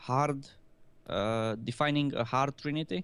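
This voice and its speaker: A man speaks at a very slow pace with a medium pitch. His pitch variation is ordinary. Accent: non-native. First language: not English. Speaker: gaming video host. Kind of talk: casual panel discussion.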